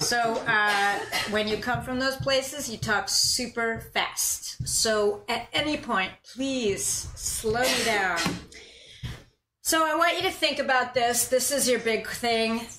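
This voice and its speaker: A woman's very slow, high-pitched speech with ordinary pitch variation, plus noticeable background noise and audible room echo. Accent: American. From US Northeast (New York, Boston, Philadelphia). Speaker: university professor, historian of science. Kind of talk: lecture.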